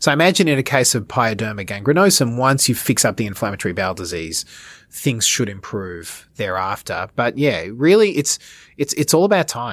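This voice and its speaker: This man talks with an Australian accent and very wide pitch swings. The recording is very clean, with a silent background. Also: medium pitch for a man, fairly quick pace. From Australia, Melbourne. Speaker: dermatology and wound care clinician. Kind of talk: expert interview. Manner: halting, many repeated words.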